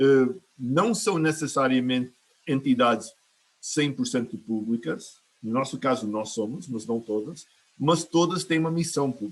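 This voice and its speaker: At a fairly slow pace, a man with an American accent speaks at a fairly high pitch with lively intonation. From United States. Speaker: climate finance adviser, green bank board member. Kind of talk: online panel discussion. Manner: halting, many fillers and restarts.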